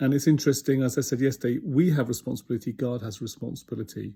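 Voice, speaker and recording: A man's dark, mellow, somewhat breathy voice with a British accent, medium pitch, ordinary pitch variation and a very fast pace. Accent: UK. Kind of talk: devotional talk.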